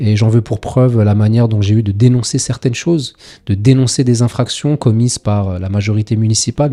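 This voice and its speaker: At a very fast pace, a man speaks in a dark, mellow voice of medium pitch with fairly even intonation. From France, Paris suburbs (Seine-Saint-Denis). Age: 40s. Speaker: local politician. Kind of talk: interview. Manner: hesitant, frequent fillers.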